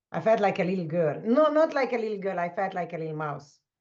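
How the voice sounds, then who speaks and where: Lively intonation marks a woman's speech with a non-native accent. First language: not English. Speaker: leadership coach. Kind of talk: conversational interview. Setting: video call.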